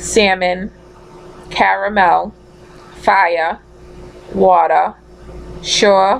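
Speaking very slowly, a woman leaves long, frequent pauses. She talks with a strong Massachusetts accent. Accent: thick Massachusetts. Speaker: vlogger. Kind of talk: casual talk to camera. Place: home room. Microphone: webcam.

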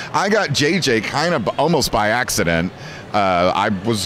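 A man with an American accent and a fairly low voice speaks in a dry sound with no echo over noticeable background noise. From California. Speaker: voice actor and anime dub director; voice actor. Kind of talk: convention interview. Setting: anime convention. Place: hall. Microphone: handheld.

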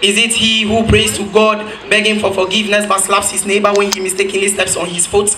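Over noticeable background noise, a man talks in a raised, projected voice at a very fast pace. His pitch is high and his tone animated. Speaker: spoken word poet. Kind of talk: spoken word poem performed on stage. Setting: stage with audience. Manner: animated, rhetorical, building rhythmically with repeated questions; satirical, accusing. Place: stage.

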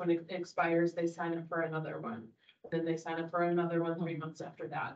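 A woman talks at a fairly quick pace in a fairly low pitch, using a normal speaking voice. The background is quiet. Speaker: library staff giving a report. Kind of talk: meeting report. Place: meeting room.

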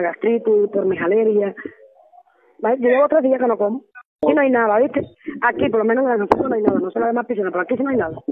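At a very fast pace, a woman with a fairly high pitch speaks with ordinary pitch variation. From Cuba. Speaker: political prisoner. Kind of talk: testimony. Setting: phone call. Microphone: phone line.

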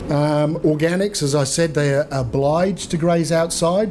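A man speaks with a New Zealand accent and fairly even intonation. Light background noise sits behind him. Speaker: trade agency regional manager; presenter. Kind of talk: seminar presentation. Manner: fast. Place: meeting room. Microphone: podium.

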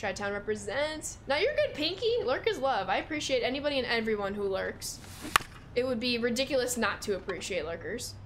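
A fairly quick woman's voice with an American accent, high pitch and lively intonation, over noticeable background noise. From Chicago, US Midwest. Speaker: video game streamer. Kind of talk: live gaming stream chat. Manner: animated. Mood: upbeat, friendly. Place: home room.

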